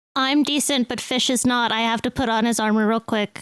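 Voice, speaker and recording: A female-sounding put-on character voice comes at a fairly quick pace and fairly high pitch. The recording is very clean with a silent background. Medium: actual play. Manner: prim, indignant.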